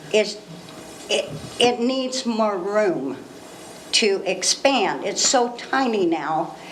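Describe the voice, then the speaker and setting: A woman with an American accent, with audible room echo and noticeable background noise. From Northern California, Ukiah area. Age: 60s. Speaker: member of the public. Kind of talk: public comment.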